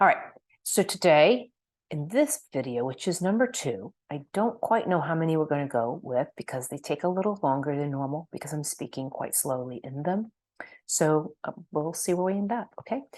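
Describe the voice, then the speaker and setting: Over a quiet background, a woman with a very deep, low pitch speaks with very wide pitch swings. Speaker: energy healer. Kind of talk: online workshop. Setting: screen-share video. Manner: slow.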